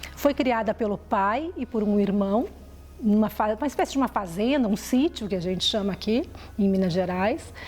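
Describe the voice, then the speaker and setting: This woman's voice is somewhat breathy and fairly high-pitched, moving at a moderate pace with ordinary pitch variation. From southern Brazil, Porto Alegre. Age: 50s. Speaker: journalist. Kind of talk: personal life story.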